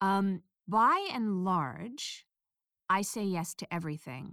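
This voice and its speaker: A woman's voice, dry and close with no echo, on a very clean recording with a silent background. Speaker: audiobook narrator. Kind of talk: interview about audiobook industry, advice.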